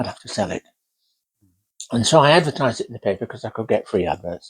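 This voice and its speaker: Somewhat breathy and with a Yorkshire accent, the voice comes through a very clean recording with a silent background and a dry, close sound with no echo. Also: man. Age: 80s+. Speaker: oral history interviewee. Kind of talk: oral history interview.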